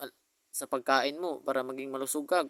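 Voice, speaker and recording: Dry, close sound without echo from a man at a moderate speed. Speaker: vlogger. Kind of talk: personal video message. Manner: halting.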